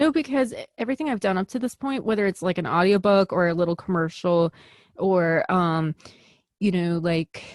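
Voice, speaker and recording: Against a quiet background, a woman with an American accent speaks at a medium pitch and moderate pace, with lively intonation and a dry, close sound with no echo. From US Midwest, Chicago. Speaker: actor and film director. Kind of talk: interview. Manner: animated.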